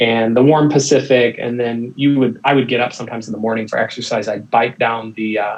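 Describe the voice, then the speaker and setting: A man with an American accent speaks at a medium pitch and a fairly quick pace. His intonation is monotone and flat, with hardly any pauses. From United States. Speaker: missionary and theological educator. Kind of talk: casual podcast interview. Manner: halting, with many fillers and repeats.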